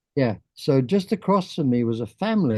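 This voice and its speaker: With an English accent, a man talks at a moderate pace in a dark, mellow tone with lively intonation. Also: quiet background. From England. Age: 80s+. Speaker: artist. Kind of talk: casual chat.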